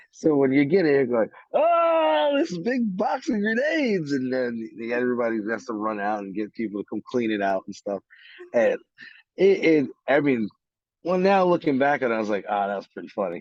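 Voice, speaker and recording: In a New York accent, a man talks at medium pitch with very wide pitch swings. The moderate-paced sound is dry and close, with no echo. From New York City, Brooklyn. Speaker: army veteran. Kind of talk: interview. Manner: halting.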